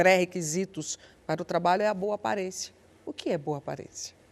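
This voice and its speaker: A woman with an ordinary speaking voice talks at a moderate pace and a fairly low pitch with fairly even intonation, in a dry, close sound with no echo and a quiet background. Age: 60s. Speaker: TV talk show host. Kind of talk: TV panel discussion.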